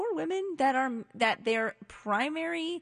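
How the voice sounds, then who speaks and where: A woman's voice swings very widely in pitch. The background is quiet. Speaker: co-host. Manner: playful, chatty.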